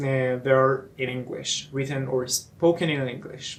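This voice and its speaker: Noticeable noise sits in the background. The delivery is very slow. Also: man. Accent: Persian. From eastern Iran. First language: Persian. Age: 20s. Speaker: English teacher and student. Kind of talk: casual self-introduction vlog. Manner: halting, many fillers.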